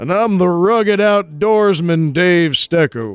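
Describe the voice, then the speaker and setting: A put-on character voice. It moves at a fairly slow pace. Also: man, high pitch for a man. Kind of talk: deep, exaggerated announcer voice. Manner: crisp, confident, mock-commercial.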